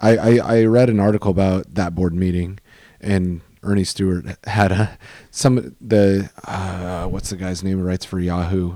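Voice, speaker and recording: This man has a very deep, low pitch and a dark, mellow tone. He speaks at a moderate pace with fairly even intonation. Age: 30s. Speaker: soccer podcast host. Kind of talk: casual chat.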